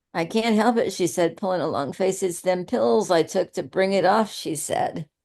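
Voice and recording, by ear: With ordinary pitch variation, a person is reading aloud in a natural voice.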